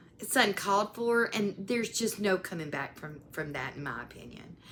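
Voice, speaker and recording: Speaking with a Southern US accent, a woman uses a medium pitch, lively intonation and a bright, sharp tone. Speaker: YouTuber, commentary creator. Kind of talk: casual commentary vlog. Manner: animated.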